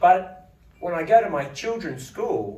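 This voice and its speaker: A man with an Australian accent speaks with lively intonation. Noticeable background noise and audible room echo accompany him. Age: 40s. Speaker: politician. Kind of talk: speech at book launch. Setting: parliament house event with audience.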